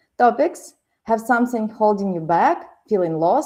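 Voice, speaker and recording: A woman with a Ukrainian accent speaks in a dark, mellow tone with lively intonation. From Ukraine. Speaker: podcast host. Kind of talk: show intro and sponsor reads.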